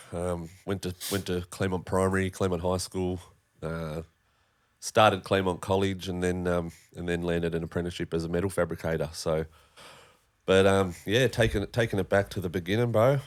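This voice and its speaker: Over a silent background on a very clean recording, a man with an Australian accent speaks in a very deep, low pitch at a fairly quick pace, with fairly even intonation. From Tasmania, Australia (northern suburbs of Hobart). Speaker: podcast guest, former metal fabricator. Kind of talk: casual chat, personal story.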